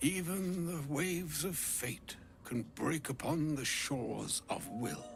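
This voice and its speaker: A put-on character voice moves at a fairly slow pace with ordinary pitch variation. Clear background noise runs underneath. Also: man, fairly high pitch for a man. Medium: video game. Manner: poetic, solemn.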